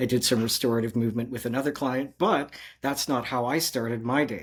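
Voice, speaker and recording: With a Canadian accent, a man speaks in a normal speaking voice at medium pitch and with fairly even intonation. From Canada. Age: 60s. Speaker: movement coach. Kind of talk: casual interview. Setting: video call.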